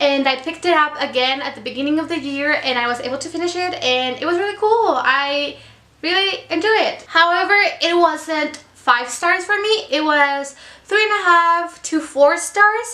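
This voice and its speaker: A woman with a Mexican accent uses a raised, projected voice at an extremely high pitch. Her intonation is lively, her pace moderate, and room echo is audible. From Mexico. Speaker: book vlogger. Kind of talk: casual monologue. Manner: casual, hesitant with fillers.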